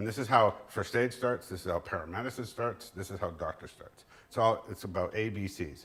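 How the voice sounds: A man speaks with a fairly low pitch and a slightly husky edge, at a fairly quick pace. His tone is fairly bright, and his pitch varies in an ordinary way.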